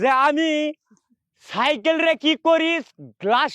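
The pitch moves in an ordinary way. The sound is dry and close, with no echo. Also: man. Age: 70s. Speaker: street performer. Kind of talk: casual self-promotion. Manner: animated.

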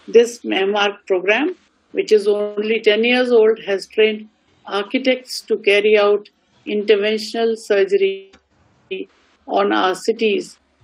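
With an Indian accent, the speaker moves at a fairly slow pace with long, frequent pauses against a quiet background. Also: woman. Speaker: university vice chancellor. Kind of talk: formal address. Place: home room. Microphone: video call.

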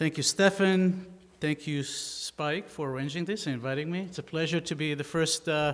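Ordinary pitch variation marks this man's speech. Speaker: guest architect lecturer. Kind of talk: lecture. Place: hall. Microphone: podium.

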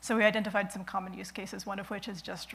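Over light background noise, a woman talks at a very fast pace with monotone, flat intonation. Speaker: conference presenter. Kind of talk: technical conference talk. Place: stage.

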